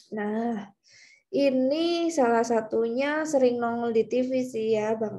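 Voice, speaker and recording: A woman speaks with a fairly high pitch and a dark, mellow tone, using ordinary pitch variation. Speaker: university lecturer. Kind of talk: lecture. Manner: casual, conversational.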